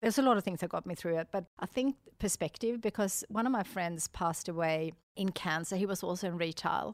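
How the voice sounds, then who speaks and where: A woman with a Swedish accent talks at a fairly quick pace and medium pitch with ordinary pitch variation, in a dry, close sound with no echo. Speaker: entrepreneur. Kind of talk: interview. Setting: studio. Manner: upbeat, animated.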